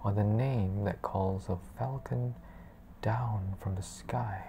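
A soft-spoken woman talks at a very slow pace in a soothing, dark, mellow tone that is somewhat breathy. Light background noise sits behind her. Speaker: ASMR book reader. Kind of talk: bedtime story reading aloud. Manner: slow, soft-spoken, soothing. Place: home room. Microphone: lapel.

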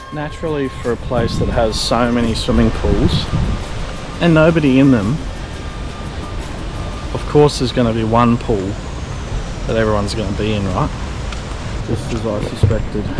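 Speaking at a moderate pace with ordinary pitch variation, a man leaves long, frequent pauses in a dry recording with no echo while music plays in the background. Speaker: travel vlogger. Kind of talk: casual vlog chat. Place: garden. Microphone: phone near.

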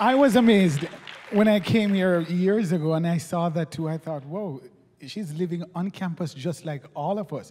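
A high-pitched man talks at a moderate pace, his pitch varying in an ordinary way. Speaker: interviewer. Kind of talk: interview. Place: stage. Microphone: handheld.

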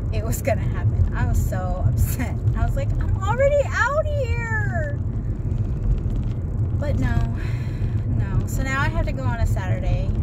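A woman talking at a moderate pace with long, frequent pauses over loud background noise. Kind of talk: casual family chat. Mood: chatty, mildly frustrated story. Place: car.

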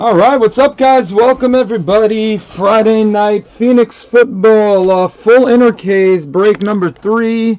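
This man's pitch moves in an ordinary way. He speaks at a fairly slow pace. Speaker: card break host. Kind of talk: live stream commentary. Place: home room. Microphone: webcam.

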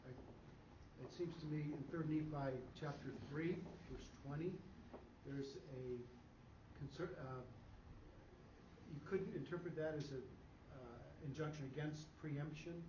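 A man speaks at a fairly slow pace with a fairly high pitch, leaving long, frequent pauses amid audible room echo. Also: ordinary pitch variation.

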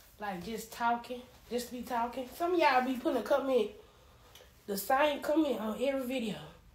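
This woman has a high pitch and ordinary pitch variation. She talks at a fairly quick pace, with audible room echo. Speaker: social media creator. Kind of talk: casual vlog chat. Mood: playful, slightly sassy. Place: home room. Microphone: phone near.

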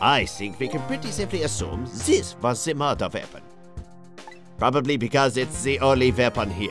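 A man puts on a gruff character voice at a medium pitch, speaking at a moderate pace with lively intonation while clear music plays in the background. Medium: fan dub. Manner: gruff, dry.

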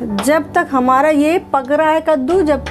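A woman's high voice with ordinary pitch variation, set against clear music in the background. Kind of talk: cooking tutorial. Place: kitchen.

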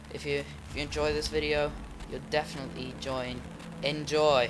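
A man with a non-native accent at a moderate pace, against noticeable background noise. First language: not English. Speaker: gaming YouTuber. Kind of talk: gameplay commentary. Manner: excitable.

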